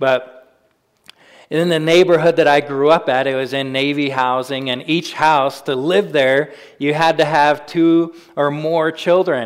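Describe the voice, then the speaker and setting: A man with an American accent speaks in an ordinary speaking voice. His pitch is fairly high and his intonation fairly even. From US Pacific Northwest (Spokane, Washington). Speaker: pastor. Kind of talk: sermon.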